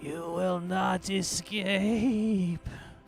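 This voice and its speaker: A put-on character voice at a middle pitch plays over clear music in the background. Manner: menacing, echoing.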